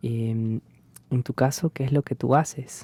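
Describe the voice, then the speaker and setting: A man's dark, mellow, somewhat breathy voice at a fairly slow pace, with a dry, close sound and no echo. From Peru. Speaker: university language teacher. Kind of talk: casual chat.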